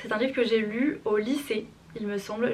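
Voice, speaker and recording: A woman talks at a fairly high pitch. Noticeable background noise can be heard. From France. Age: 20s. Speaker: social work student. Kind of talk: casual talk to camera, book review. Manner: upbeat.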